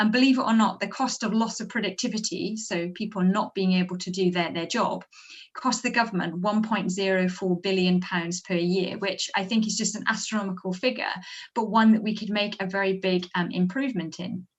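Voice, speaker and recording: A woman's medium-pitched, somewhat breathy voice with fairly even intonation. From Wales, Brecon Beacons. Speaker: academic researcher. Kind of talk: presentation to a council meeting. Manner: hesitant, many filler sounds.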